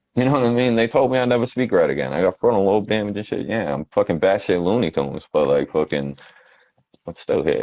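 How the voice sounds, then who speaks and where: In a Boston accent, a man rattles along at a very fast pace, his fairly low voice making very wide pitch swings. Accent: Boston-area New England. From Quincy, Massachusetts. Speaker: rapper. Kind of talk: casual interview chat.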